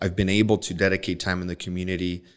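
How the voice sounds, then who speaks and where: At a moderate pace, a man with an American accent speaks with a very deep, low pitch and fairly even intonation over a quiet background. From Nogales, Arizona (born Sinaloa, Mexico). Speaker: personal injury attorney. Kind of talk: interview.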